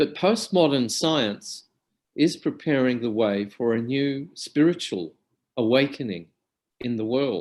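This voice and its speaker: Someone speaks with an Australian accent and lively intonation. The recording is very clean, the background silent. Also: man, medium pitch for a man, fairly slow pace. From Australia (Alice Springs, central Australia). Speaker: academic lecturer on depth psychology. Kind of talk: lecture. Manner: formal.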